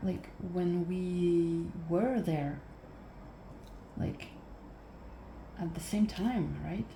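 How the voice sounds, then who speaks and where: Very slow, soft-spoken speech with long, frequent pauses, ordinary pitch variation and noticeable background noise. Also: woman, fairly low pitch for a woman. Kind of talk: ASMR soft-spoken rambling while crafting; casual storytelling.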